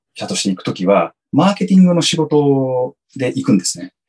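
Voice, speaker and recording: A man's voice moves through very wide pitch swings, with music in the background. The sound is dry and close with no echo. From Japan (Yokohama) and San Diego, California. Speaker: company employee in marketing. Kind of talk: interview. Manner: halting, many fillers.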